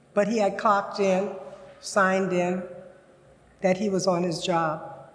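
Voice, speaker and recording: Audible room echo surrounds a woman with an American accent speaking fairly slowly at a medium pitch in a monotone, flat intonation. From US South, Louisiana. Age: 80s+. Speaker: senior storyteller. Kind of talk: personal narrative storytelling. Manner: halting at times.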